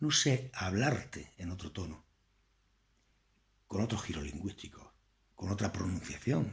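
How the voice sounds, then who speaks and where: In a strong Andalusian accent, a man with a fairly low pitch speaks at a fairly slow pace, somewhat breathy and with lively intonation, taking long, frequent pauses. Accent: thick Andalusian. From Andalusia, Spain. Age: 50s. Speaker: political commentator. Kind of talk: political lecture. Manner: conversational.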